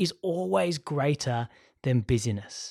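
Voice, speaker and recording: A man's fairly high-pitched voice with a Sydney accent. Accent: posh Sydney Hills. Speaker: podcast host, school teacher. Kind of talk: casual chat; scripted outro. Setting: studio.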